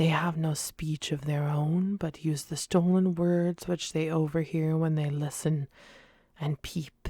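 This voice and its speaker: A woman's somewhat breathy voice, very deep and low in pitch, fairly slow and monotone, in a dry, close sound with no echo on a very clean recording with a silent background. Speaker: ASMR reader. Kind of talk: audiobook-style ASMR reading. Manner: soft-spoken, whispering, relaxing.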